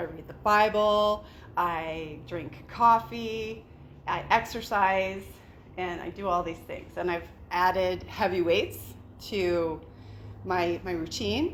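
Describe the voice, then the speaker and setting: A woman's very slow speech with long, frequent pauses, big swings in loudness and audible room echo. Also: medium pitch for a woman, ordinary pitch variation. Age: 50s. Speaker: investor group founder and event host. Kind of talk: event welcome speech. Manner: casual, chatty with filler words.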